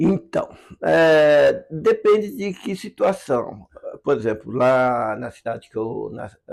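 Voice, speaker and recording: Speaking at a very slow pace, a man shows big swings in loudness. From interior of São Paulo state, Brazil. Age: 60s. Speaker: filmmaker and producer. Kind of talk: interview, personal storytelling. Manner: hesitant, with many fillers.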